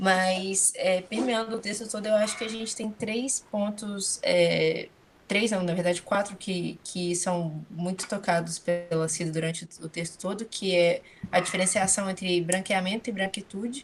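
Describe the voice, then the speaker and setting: A woman's somewhat breathy voice of medium pitch, at a fairly slow pace with fairly even intonation. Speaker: graduate student in study group. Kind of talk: academic discussion.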